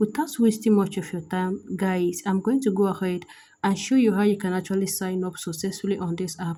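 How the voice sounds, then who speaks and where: A woman speaks somewhat breathily at a fairly quick pace, with ordinary pitch variation. Her tone is dark and mellow. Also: medium pitch for a woman. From Nigeria. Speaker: app review YouTuber. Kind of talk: tutorial.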